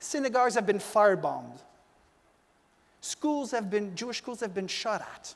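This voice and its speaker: A man is speaking. He has a French-Canadian accent. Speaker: former politician, community leader. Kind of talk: panel discussion. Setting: stage with audience.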